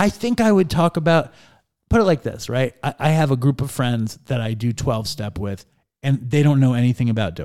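With an American accent and a normal speaking voice, a man talks at a fairly quick pace in a medium pitch, his intonation lively. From New York City (Manhattan). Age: 40s. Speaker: podcast host guest. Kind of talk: casual chat.

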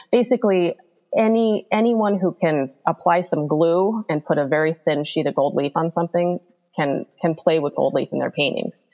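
Moderate pace from a woman with a fairly low pitch and ordinary pitch variation, music in the background. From Alaska. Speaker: painter. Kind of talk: interview.

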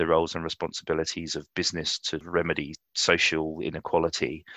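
In a London accent, a man with a very deep, low pitch and a bright, sharp tone talks at a fairly quick pace, heard in a dry, close sound with no echo against a quiet background. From London, England. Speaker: insurance executive. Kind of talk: interview conversation.

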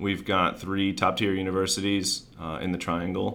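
A man with a very deep, low voice speaks at a moderate pace. Room echo is audible. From Maryland. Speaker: commercial real estate developer. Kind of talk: interview.

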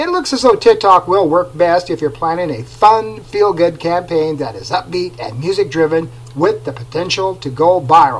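With noticeable background noise behind him, a man speaks at a moderate pace and a high pitch, his intonation lively and his loudness swinging widely. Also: hardly any pauses. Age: 50s. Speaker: digital media marketer, podcast host. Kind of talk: solo informational podcast monologue.

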